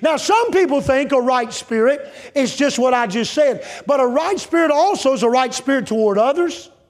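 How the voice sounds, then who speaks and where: Over noticeable background noise, a man with an extremely high pitch speaks in an animated tone at very even loudness, with hardly any pauses. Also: ordinary pitch variation, moderate pace. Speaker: evangelist preacher. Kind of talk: revival sermon. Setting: church with congregation. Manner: animated, fervent pulpit delivery, pressing and exhorting; direct audience address, rhetorical questions.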